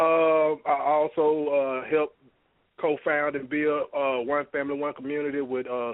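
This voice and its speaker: This man's fairly high voice keeps to a moderate pace. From US South, Alabama. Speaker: internet radio station owner, caller. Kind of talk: casual chat.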